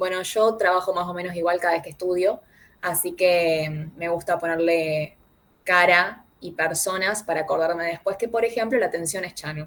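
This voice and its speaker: A woman talks with fairly even intonation at a fairly low pitch. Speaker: student tutor. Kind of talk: online review class. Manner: fast.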